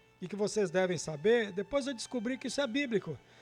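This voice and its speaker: A man's high voice with lively intonation at a fairly quick pace, with music in the background. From Brazil, Minas Gerais (Guaraciaba). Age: 60s. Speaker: guest storyteller. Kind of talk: personal life story testimony.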